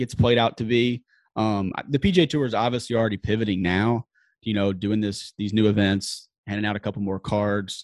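A man speaks at a moderate pace in a normal speaking voice, pitched fairly low. His intonation is fairly even, and the background is quiet. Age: 20s. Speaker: sportswriter. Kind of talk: casual chat.

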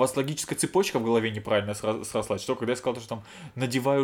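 This man speaks at a very fast pace. His pitch sits in the medium range. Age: 30s. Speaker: podcast host. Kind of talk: casual chat. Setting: same room as co-host.

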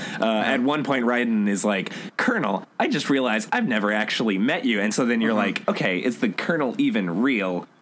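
A man with a medium pitch talks at a fairly quick pace with hardly any pauses, ordinary pitch variation and very even loudness, over noticeable background noise. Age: 20s. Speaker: podcast co-host. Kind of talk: casual chat.

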